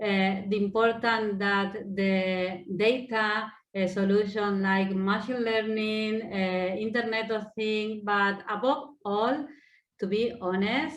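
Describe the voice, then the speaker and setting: A woman's fairly high voice in an Argentine accent, very slow, with fairly even intonation and audible room echo. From Argentina. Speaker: sports innovation center head. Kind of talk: panel discussion. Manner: hesitant, non-native phrasing.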